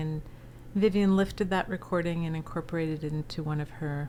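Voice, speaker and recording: A woman's very deep, low voice, dark and mellow in tone, with an American accent, fairly even intonation and a moderate pace. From US East Coast, Philadelphia area. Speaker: entrepreneur and speaker. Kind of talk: interview. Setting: podcast.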